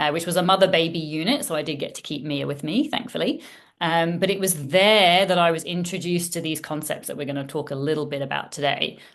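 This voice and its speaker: This woman has an ordinary speaking voice, fairly low in pitch. She talks at a fairly quick pace with lively intonation. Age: 40s. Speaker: former emergency doctor turned parent coach. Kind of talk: podcast interview.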